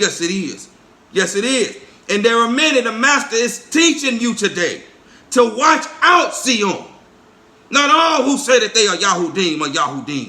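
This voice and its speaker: A man speaks in a raised, projected voice at an extremely high pitch. His pitch swings very widely, with audible room echo around it. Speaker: preacher. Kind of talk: sermon.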